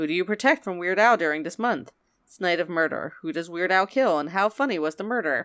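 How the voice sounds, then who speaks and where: Here a woman speaks in an ordinary speaking voice, fairly low in pitch with lively intonation and big swings in loudness. The recording is very clean, with a silent background. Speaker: podcast host. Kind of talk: casual chat.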